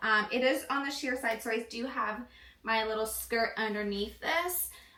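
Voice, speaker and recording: A woman with a fairly high pitch talks at a moderate pace with ordinary pitch variation, over noticeable background noise and audible room echo. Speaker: fashion and sewing vlogger. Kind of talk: casual vlog tutorial. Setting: home office studio room. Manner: casual with many fillers.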